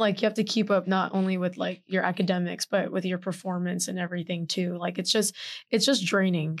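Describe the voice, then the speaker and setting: This woman talks at a fairly quick pace in a medium pitch with a monotone, flat intonation. The background is quiet. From Texas, Houston. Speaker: college volleyball player and podcast co-host. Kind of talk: casual chat.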